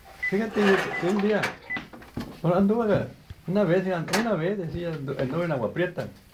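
A man with a high pitch speaks at a moderate pace, using ordinary pitch variation and long, frequent pauses, over noticeable background noise. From Sonora, Mexico. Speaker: storyteller, oral history witness. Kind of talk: family conversation, oral history anecdote. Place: home room.

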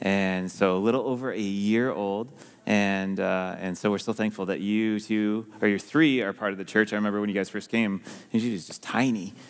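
A man talks at a fairly quick pace with fairly even intonation. The background is quiet. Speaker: pastor. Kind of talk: ceremony address to congregation. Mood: warm, joking. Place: church. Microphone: headset.

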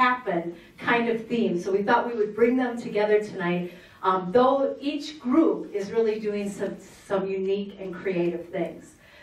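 Room echo is audible. The speaker is a woman. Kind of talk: formal public address. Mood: warm, celebratory. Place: meeting room.

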